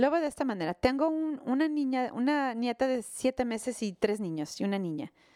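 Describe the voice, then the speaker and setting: Speaking at a fairly quick pace, a woman has a high pitch and a dark, mellow tone. Her intonation is lively. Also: very clean recording, silent background. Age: 60s. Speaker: pastor. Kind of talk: sermon. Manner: halting.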